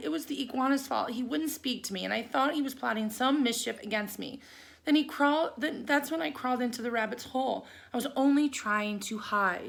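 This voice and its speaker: In a raspy, put-on character voice, a woman speaks quickly at a high pitch. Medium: read story.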